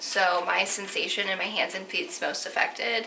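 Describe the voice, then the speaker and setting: Over noticeable background noise and audible room echo, a woman with an American accent speaks at a fairly slow pace. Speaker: vlogger. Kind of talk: personal vlog. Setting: at home on couch. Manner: casual, filler-heavy; occasional stutter.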